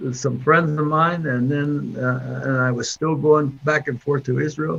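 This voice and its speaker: A man with an American accent, fairly high pitch and fairly even intonation, at a fairly slow pace over noticeable background noise. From Pittsburgh area, Pennsylvania. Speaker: Korean War Navy veteran, engineer. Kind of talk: interview answer. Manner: hesitant, halting.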